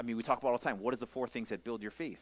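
A man with a Hawaiian accent and ordinary pitch variation. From Hawaii, Maui. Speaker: pastor. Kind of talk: sermon. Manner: casual, conversational.

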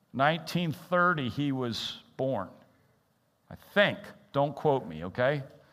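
A man speaks very slowly in a fairly high, bright, sharp voice with lively intonation. Audible room echo surrounds him. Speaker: interim pastor. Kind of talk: sermon. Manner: halting.

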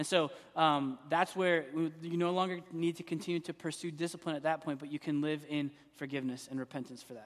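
An unremarkable speaking voice from a man, fairly high in pitch, comes at a fairly quick pace with big swings in loudness. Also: fairly even intonation. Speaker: pastor. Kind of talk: church Q and A discussion. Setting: church.

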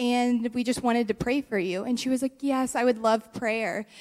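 A woman's high-pitched voice comes through in a very clean recording with a silent background. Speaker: church member. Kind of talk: testimony. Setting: church.

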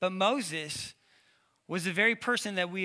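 In a very clean recording with a silent background, a man raises and projects his high-pitched voice, bright and sharp in tone, at a moderate pace with ordinary pitch variation. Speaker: pastor. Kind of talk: sermon. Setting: church. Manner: halting, filler-heavy.

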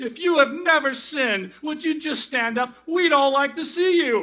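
Shouting in a put-on character voice, the speaker hits a high pitch at a moderate pace. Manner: shouting, emotional and heated.

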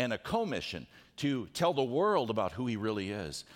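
A man speaks with vocal fry. The recording is very clean, with a silent background. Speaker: pastor. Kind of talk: sermon. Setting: church. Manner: fast.

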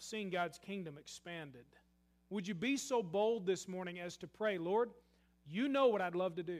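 At a moderate pace, a man speaks with a Kentucky accent. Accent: Southern US (Kentucky). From US South, western Kentucky. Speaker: pastor. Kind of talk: sermon. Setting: church.

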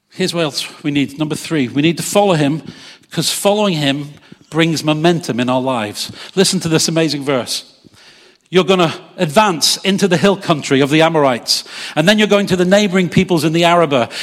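Amid noticeable background noise, a man talks fairly quickly in an animated tone, his fairly high voice showing ordinary pitch variation. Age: 50s. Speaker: pastor. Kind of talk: sermon. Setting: church service with congregation.

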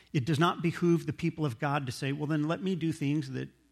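A man's somewhat breathy voice, fairly high in pitch, at a fairly quick pace. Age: 40s. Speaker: pastor. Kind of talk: sermon. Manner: halting.

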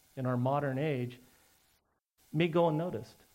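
A man speaks at a moderate pace with lively intonation. His is an unremarkable speaking voice. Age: 50s. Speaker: pastor. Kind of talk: sermon. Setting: church.

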